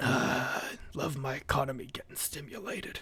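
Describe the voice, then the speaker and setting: A man's raspy, put-on character voice. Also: medium pitch for a man, moderate pace. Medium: actual play.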